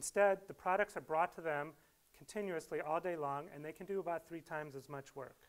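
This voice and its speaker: Here a man talks at a very fast pace in a high voice. His pitch varies in an ordinary way. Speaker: speaker. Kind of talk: lecture. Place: hall. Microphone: lapel.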